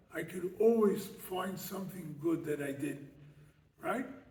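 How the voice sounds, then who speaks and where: Speaking at a fairly slow pace with an American accent, a man with a high pitch is heard against audible room echo. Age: 70s. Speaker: rabbi and lecturer. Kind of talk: lecture. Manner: animated, rhetorical questions.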